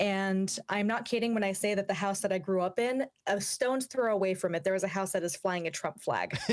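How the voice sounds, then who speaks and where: A normal speaking voice in an American accent, fairly quick with hardly any pauses, very even in loudness and ordinary in pitch variation. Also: woman, medium pitch for a woman. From Washington State, Yakima area. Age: 20s. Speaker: opera singer and YouTuber. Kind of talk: interview.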